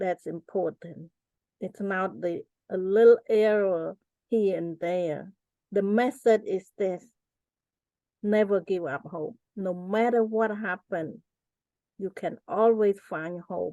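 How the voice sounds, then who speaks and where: A woman with a Cambodian accent speaks at a very slow pace, her medium pitch moving with ordinary variation. She leaves long, frequent pauses, and the sound is dry and close with no echo. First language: Cambodian (Khmer). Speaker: genocide survivor and author. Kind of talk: interview.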